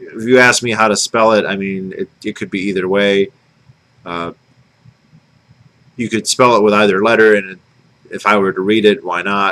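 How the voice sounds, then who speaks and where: A man with an Inland North US accent talks at a moderate pace in a bright, sharp tone, his intonation flat and monotone. His loudness swings widely, and he takes long, frequent pauses. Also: fairly low pitch for a man. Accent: Inland North US (Northern Cities Vowel Shift). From Michigan, US. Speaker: vlogger. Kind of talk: casual vlog monologue.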